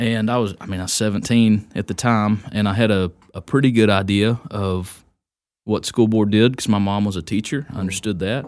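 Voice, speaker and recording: Fairly low pitch from a man at a moderate pace, fairly even intonation, and a very clean recording with a silent background. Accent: Texan. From Texas, Wise County. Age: 30s. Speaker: county judge. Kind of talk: casual interview.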